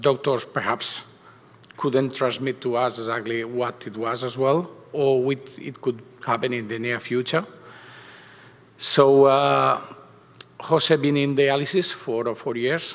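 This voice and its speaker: Speaking with a Spanish accent, a man keeps a medium pitch and fairly even intonation. His pace is fairly slow, with long, frequent pauses. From Spain. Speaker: parent of a patient. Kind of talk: personal testimony at a conference. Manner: halting, many hesitations.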